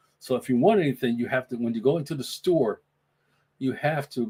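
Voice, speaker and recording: A man talks at a fairly quick pace with a New York accent. His pitch is medium and his intonation lively. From New York (Brooklyn). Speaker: podcast host. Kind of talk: casual solo livestream chat. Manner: halting, many fillers and repeats.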